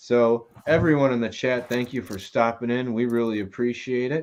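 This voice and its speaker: In an ordinary speaking voice, a man talks at a moderate pace and a medium pitch. The background is quiet. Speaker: whiskey show host. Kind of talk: casual live stream hosting. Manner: upbeat, jokey.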